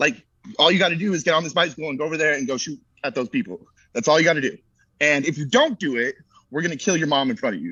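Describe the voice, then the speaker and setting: Animated in tone, a man with a fairly high pitch speaks at a very fast pace with lively intonation. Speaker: sports podcast co-host. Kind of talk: casual chat.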